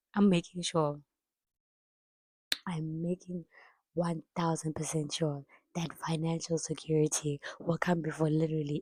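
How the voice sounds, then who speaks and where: A woman speaks at a moderate pace in a very deep, low, somewhat breathy voice with a dark, mellow tone and flat, monotone intonation. The sound is dry and close with no echo, and she leaves long, frequent pauses. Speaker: vlogger. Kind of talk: casual chat.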